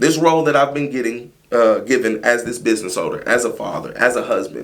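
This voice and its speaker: A man talks at a fairly quick pace. Some room echo can be heard. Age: 30s. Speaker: mold remediation business owner. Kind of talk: casual interview chat.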